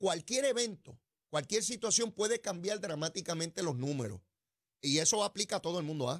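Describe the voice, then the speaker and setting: Against a quiet background, a man with a high voice talks at a fairly quick pace with lively intonation. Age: 60s. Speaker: political radio host; political commentary host. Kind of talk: political commentary. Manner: animated. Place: studio. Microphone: studio mic.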